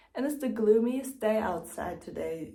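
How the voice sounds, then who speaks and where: With a non-native accent, a woman talks at a fairly slow pace with lively intonation, and audible room echo surrounds her. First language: not English. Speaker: book vlogger. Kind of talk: casual vlog talk. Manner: casual, filler-heavy.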